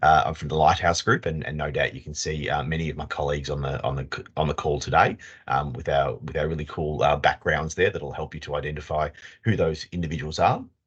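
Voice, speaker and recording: The speech comes at a very fast pace, with monotone, flat intonation. Vocal fry runs through it. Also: man, very deep, low pitch for a man. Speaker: leadership consultant. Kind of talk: webinar presentation. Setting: video call.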